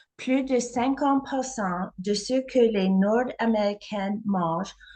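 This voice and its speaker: A woman speaks very slowly at medium pitch, her pitch variation ordinary. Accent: non-native. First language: not French (speaking French). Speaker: holistic health practitioner. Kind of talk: presentation.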